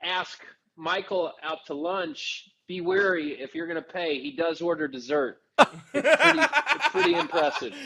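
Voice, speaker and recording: With an American accent, a man talks at a fairly slow pace in a high pitch, his bright, sharp tone carrying lively intonation and big swings in loudness. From Missouri, St. Louis. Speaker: actor. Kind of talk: casual chat.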